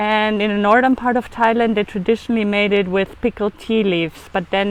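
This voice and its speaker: A woman with a German accent speaks in a fairly even intonation. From Germany. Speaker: food photographer and raw food chef. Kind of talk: cooking demonstration. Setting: outdoors on a beach.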